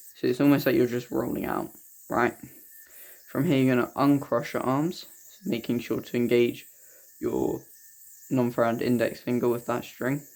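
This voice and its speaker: A quiet man of medium pitch at a moderate pace, with fairly even intonation and long, frequent pauses. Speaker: yoyo tutorial creator. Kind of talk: tutorial.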